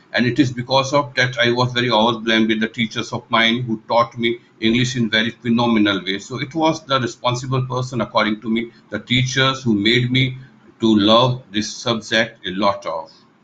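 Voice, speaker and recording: Speaking at a moderate pace, a man with a bright, sharp tone keeps his intonation fairly even. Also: medium pitch for a man. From Rajasthan, northwestern India. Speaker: English teacher. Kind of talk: interview. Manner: formal.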